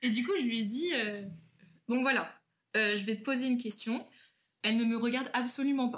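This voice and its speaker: The woman's pitch is high. She leaves long, frequent pauses. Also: ordinary pitch variation, fairly quick pace. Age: 20s. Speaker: school teacher. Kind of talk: casual chat.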